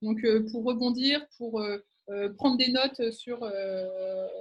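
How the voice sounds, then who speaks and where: A woman with a high pitch. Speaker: sales and business development expert. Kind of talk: webinar presentation. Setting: online video conference. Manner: hesitant, many fillers.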